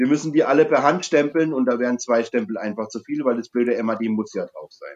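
This man's pitch is medium. He speaks very fast. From Franconia, Germany. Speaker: brewery co-owner. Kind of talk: casual chat. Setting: video call.

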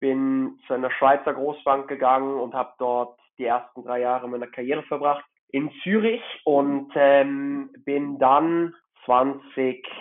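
At a very slow pace, the talking unfolds with fairly even intonation. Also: man, fairly high pitch for a man. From Hamburg, northern Germany. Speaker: watch collector. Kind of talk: casual chat.

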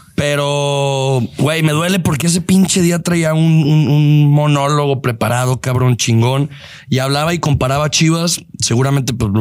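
A man with an ordinary speaking voice talks at a moderate pace and fairly high pitch. His loudness stays very even, and his pitch varies in an ordinary way. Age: 20s. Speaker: podcast host, football fan. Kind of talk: casual chat.

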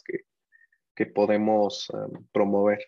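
This man talks at a fairly slow pace in a monotone, flat intonation, with a dry, close sound and no echo. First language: not Spanish (speaking Spanish). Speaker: startup founder and CEO. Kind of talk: interview. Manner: halting.

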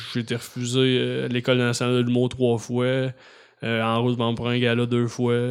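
Noticeable background noise sits behind a man whose medium-pitched voice is monotone and flat, with very even loudness. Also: moderate pace. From Quebec, Beauharnois area. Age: 30s. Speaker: comedian and YouTube creator. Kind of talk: casual chat. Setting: studio.

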